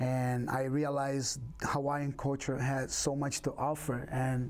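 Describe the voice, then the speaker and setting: With a Brazilian Portuguese accent, a man speaks in a fairly high pitch with monotone, flat intonation, very even loudness and hardly any pauses. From Brazil, Rio de Janeiro. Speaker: capoeira instructor. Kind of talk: interview.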